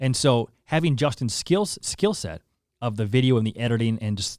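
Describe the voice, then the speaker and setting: With a Canadian accent, a man talks in an unremarkable speaking voice at medium pitch with ordinary pitch variation, the sound dry and close with no echo on a very clean recording with a silent background. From Saskatoon and Calgary, western Canada. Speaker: content creator and radio personality. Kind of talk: casual interview.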